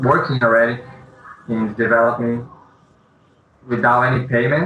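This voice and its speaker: A man's voice holds a flat, monotone intonation while noticeable noise sits behind it. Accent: non-native. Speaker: indie game developer. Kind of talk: interview. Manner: halting.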